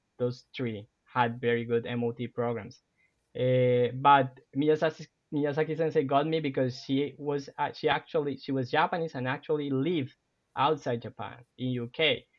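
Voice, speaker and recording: A man with a Spanish accent talks at a moderate pace, his fairly high pitch held in fairly even intonation. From Colombia, Cartagena (Caribbean coast). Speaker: university professor. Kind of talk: podcast interview.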